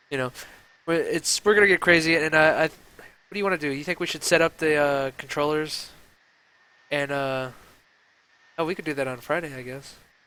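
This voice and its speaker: A man speaks at a fairly quick pace in a fairly high, bright, sharp voice with fairly even intonation. Long pauses come often. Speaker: gaming talk show host. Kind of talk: casual chat. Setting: live stream. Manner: monotone.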